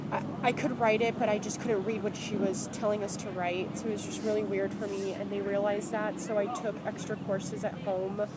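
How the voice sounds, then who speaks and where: A woman talking with hardly any pauses, amid audible room echo and noticeable background noise. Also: medium pitch for a woman, fairly quick pace. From France, Rouen area, moved to US at about seven. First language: French. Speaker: student interviewee. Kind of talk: casual interview.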